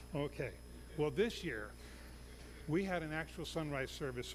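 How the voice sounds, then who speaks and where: Room echo can be heard while the man talks at a moderate pace. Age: 60s. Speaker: missionary pastor. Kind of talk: sermon. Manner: halting.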